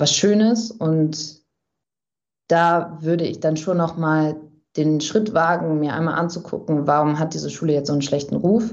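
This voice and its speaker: A woman speaks at a fairly slow pace in a very deep, low voice, with audible room echo. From Germany, Bielefeld-Brackwede. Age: 20s. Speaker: journalist and author. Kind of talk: interview. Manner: hesitant, many fillers.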